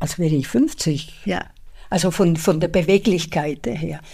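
With a Spanish accent, the voice has a dark, mellow tone and lively intonation, delivered at a very slow pace. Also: woman. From Spain. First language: Spanish (speaking German). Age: 70s. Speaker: retired bank employee and translator. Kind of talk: interview conversation.

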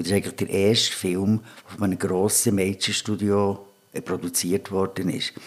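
This man's fairly low voice stays monotone, with flat intonation throughout. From Switzerland, Bern. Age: 60s. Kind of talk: casual interview. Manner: halting.

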